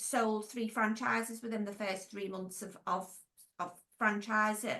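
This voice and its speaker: In a Merseyside accent, the speaker has a bright, sharp tone, ordinary pitch variation and a fairly slow pace. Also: woman. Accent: Merseyside (Scouse). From Wirral, Merseyside, England. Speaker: former nurse, franchise business owner and consultant. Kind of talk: podcast interview. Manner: casual, conversational with fillers.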